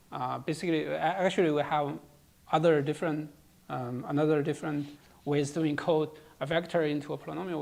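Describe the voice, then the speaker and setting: At a fairly quick pace, someone talks with a non-native accent. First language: not English. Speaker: lecturer on cryptography. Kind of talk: lecture. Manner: halting, many fillers and repetitions.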